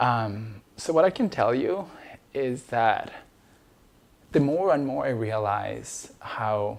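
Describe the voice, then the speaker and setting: A man at medium pitch speaks with an Ecuadorian accent. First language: Spanish. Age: 30s. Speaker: immigration lawyer telling personal story. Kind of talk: personal testimony. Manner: halting, many fillers.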